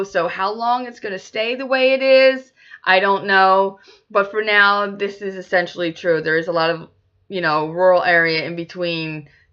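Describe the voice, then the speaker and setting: Speaking at a moderate pace, a woman with a Philadelphia accent uses a medium pitch and ordinary pitch variation. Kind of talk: casual talk to camera.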